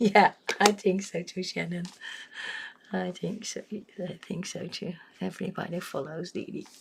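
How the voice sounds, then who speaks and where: A woman at medium pitch and a fairly slow pace, with fairly even intonation, long, frequent pauses, big swings in loudness, and noticeable background noise. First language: Dutch. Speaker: coloring livestreamer. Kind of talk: casual livestream chat while coloring. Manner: hesitant, many fillers.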